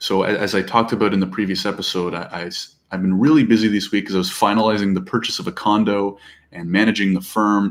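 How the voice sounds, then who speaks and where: A man talks at a very fast pace. His voice is fairly low-pitched. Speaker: solopreneur business vlogger. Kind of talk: casual vlog monologue.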